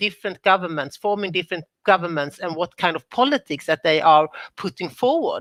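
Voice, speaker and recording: A woman's medium-pitched voice, bright and sharp in tone, with ordinary pitch variation, dry and close with no echo, in a very clean recording over a silent background. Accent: Swedish. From Sweden. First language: Swedish. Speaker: former government minister, panelist. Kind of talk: panel discussion.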